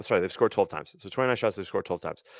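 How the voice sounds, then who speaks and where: A man's voice in a very clean recording, silent in the background, with a dry, close sound and no echo. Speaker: lacrosse goalie coach. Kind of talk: video analysis breakdown. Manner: halting, many fillers and restarts.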